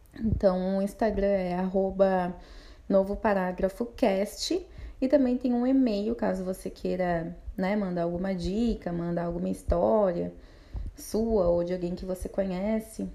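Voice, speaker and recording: Fairly slow pace and ordinary pitch variation. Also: woman, medium pitch for a woman. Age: 20s. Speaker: podcast host. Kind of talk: personal monologue podcast. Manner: casual, hesitant with fillers.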